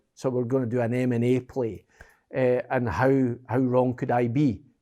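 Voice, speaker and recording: A man with an American accent, a medium pitch and a dark, mellow tone at a moderate pace, on a very clean recording with a silent background. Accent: Scottish, slightly affected by years in US. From Scotland. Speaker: business executive. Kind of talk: interview. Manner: animated.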